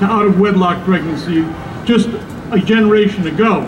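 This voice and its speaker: Noticeable background noise and audible room echo accompany a man. He speaks at a moderate pace. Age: 60s. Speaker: radio host speaking at a rally. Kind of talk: rally speech. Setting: outdoor rally. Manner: frequent filler uh's.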